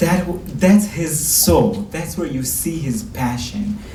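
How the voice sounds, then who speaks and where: Noticeable background noise and audible room echo accompany a man whose pitch swings very widely. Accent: Israeli. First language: Hebrew. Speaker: rabbi and lecturer. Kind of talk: lecture.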